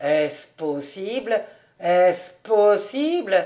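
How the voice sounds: In a put-on character voice, the speaker sounds nasal at a middle pitch and goes at a very slow pace.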